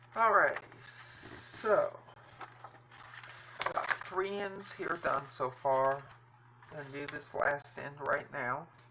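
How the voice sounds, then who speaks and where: Very slow speech over noticeable background noise. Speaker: crafting livestreamer. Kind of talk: live craft stream chatting with viewers. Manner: casual, halting with restarts.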